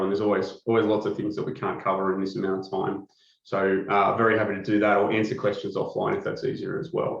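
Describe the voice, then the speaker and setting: A man with an Australian accent speaks at a very fast pace with hardly any pauses. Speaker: company executive presenting a product. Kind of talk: webinar product presentation. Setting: webcast.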